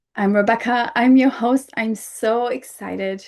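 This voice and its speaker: A woman with a non-native accent at a fairly slow pace, fairly even intonation, and a quiet background. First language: not English. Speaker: podcast host. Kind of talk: solo podcast talk.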